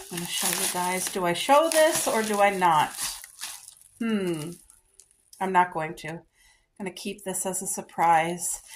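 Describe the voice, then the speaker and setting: A woman's medium-pitched voice at a fairly slow pace, with ordinary pitch variation, long and frequent pauses, and big swings in loudness. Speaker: lifestyle vlogger. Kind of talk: casual vlog try-on haul. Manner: animated.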